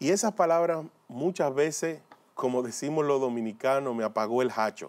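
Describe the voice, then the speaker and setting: The man speaks with lively intonation. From Dominican Republic. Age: 40s. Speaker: lay preacher and former motivational speaker. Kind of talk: religious testimony. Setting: pre-recorded video. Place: studio. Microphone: lapel.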